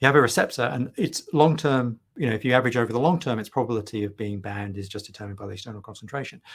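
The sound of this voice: Speaking at a very fast pace, a man has a slightly husky edge and ordinary pitch variation. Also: medium pitch for a man.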